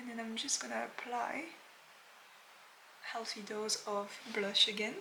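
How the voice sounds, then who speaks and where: With a French accent, a woman speaks at a fairly high pitch with ordinary pitch variation, and audible room echo surrounds her voice. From France. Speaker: makeup artist. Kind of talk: tutorial. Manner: casual, with frequent fillers.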